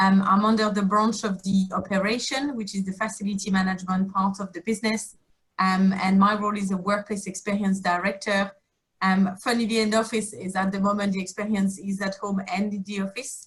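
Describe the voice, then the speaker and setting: Her voice sits at a medium pitch and is somewhat breathy. The woman talks at a fairly quick pace with monotone, flat intonation. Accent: French. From France. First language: French. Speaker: workplace experience director. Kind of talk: panel discussion.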